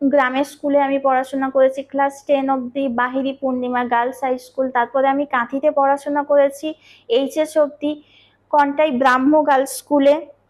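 Her intonation monotone and flat, a woman speaks with a high pitch. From West Bengal, India (Purba Medinipur, near Contai). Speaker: beauty and hair-care vlogger. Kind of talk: Q&A vlog, reading viewer comments.

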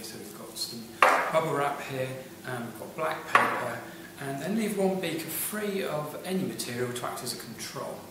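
Loud noise fills the background, with audible room echo. The speech moves at a moderate pace. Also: man. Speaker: science teacher. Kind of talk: tutorial. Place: classroom. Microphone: camera far.

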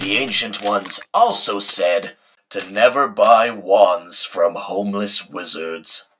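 A man puts on a cartoonish character voice. It is fairly low-pitched and delivered at a fairly slow pace. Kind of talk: comic overacting. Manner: pompous, mock-solemn, easily exasperated.

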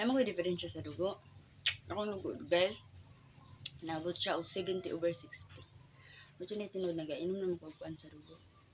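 Animated, fairly low-pitched speech from a woman at a moderate pace, with ordinary pitch variation, big swings in loudness, and long, frequent pauses. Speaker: vlogger. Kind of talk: casual vlog.

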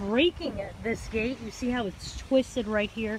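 A woman speaks in a raised, projected voice at a moderate pace. The sound is dry with no echo, with light background noise. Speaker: local news reporter. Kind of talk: news report stand-up. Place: street. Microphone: phone near.

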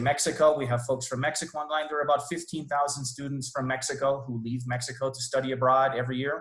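Monotone, flat delivery from a man at a fairly quick pace, with audible room echo and a quiet background. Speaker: university international programs staff. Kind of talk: informational presentation. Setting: video call. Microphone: video call.

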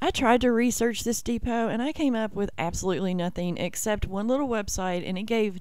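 The woman talks at a fairly quick pace. The sound is dry, with no echo. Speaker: travel vlogger. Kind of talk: casual vlog chat. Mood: curious, wondering aloud. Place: open country. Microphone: phone near.

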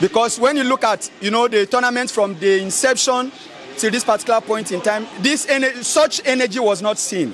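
The tone is fairly bright, the pace is moderate, and there is faint background noise. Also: man.

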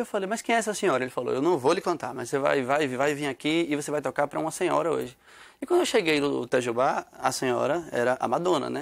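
Talking at a very fast pace, a man with a fairly high pitch and vocal fry uses ordinary pitch variation over a quiet background. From Brazil, Northeast (Sergipe, Aracaju); Brazil. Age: young. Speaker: musician; guest. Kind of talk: TV interview. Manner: halting. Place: studio. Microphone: studio mic.

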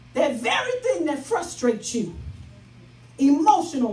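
A speaker with an American accent talks at a fairly slow pace in an animated tone, the pitch swinging very widely. Audible echo from the room surrounds the voice. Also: woman. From Chicago South Side; Chicago. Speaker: pastor. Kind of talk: sermon. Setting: church with live congregation. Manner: rhythmic, repetitive exhortation with congregation echo; animated, emphatic and conversational. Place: church.

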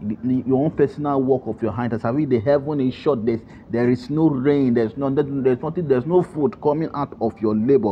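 A man in a normal speaking voice talks at a fairly quick pace with ordinary pitch variation and hardly any pauses. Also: medium pitch for a man. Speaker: prayer leader. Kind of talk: scripture teaching and prayer opening.

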